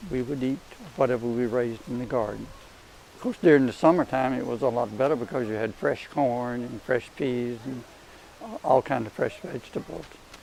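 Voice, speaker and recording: With an Alabama accent, a man talks at a fairly quick pace and a medium pitch. His pitch varies in an ordinary way, and noticeable background noise is present. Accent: Southern US (Alabama). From Crenshaw County, Alabama. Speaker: Auburn alumnus, great-grandfather. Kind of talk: interview answer.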